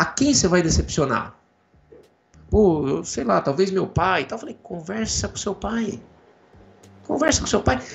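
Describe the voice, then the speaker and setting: Over background music, a man with a high voice speaks at a fairly slow pace with long, frequent pauses, very wide pitch swings and big swings in loudness. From Brazil, interior of São Paulo state (Jaú). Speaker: computer science professor. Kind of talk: casual interview.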